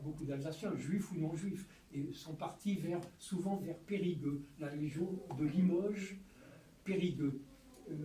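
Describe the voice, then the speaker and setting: A man with a high voice speaks very slowly with fairly even intonation and long, frequent pauses. Audible room echo surrounds his voice. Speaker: Holocaust survivor witness and author. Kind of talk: testimony. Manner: halting.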